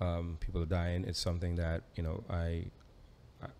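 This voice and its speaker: Very deep and low, the man's voice rumbles through the clip. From Trinidad and Tobago. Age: young. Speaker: tech company founder and CEO; guest. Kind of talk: interview. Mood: earnest, thoughtful. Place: studio. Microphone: studio mic.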